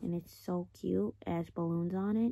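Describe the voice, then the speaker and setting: Fairly even intonation from a female speaker. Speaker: vlogger. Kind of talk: casual vlog chat. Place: home room. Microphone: phone near.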